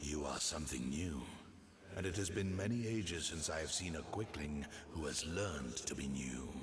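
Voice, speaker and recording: A man puts on a character voice, pitched very deep and low, at a moderate pace. Clear background noise and a slight echo sit behind him. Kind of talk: mythic fantasy oration. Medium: video game. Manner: slow, solemn, prophetic.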